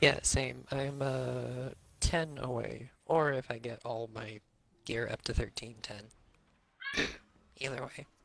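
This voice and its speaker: Over noticeable background noise, a man at medium pitch talks at a very slow pace with fairly even intonation and long, frequent pauses. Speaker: gamer on livestream. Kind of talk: casual chat.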